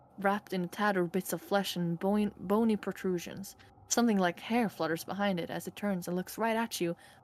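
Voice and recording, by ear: Someone is reading aloud in a natural voice here.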